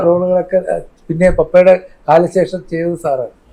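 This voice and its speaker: With a dark, mellow tone, a man speaks at a high pitch using fairly even intonation. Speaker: son of a late film actor. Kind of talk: interview conversation.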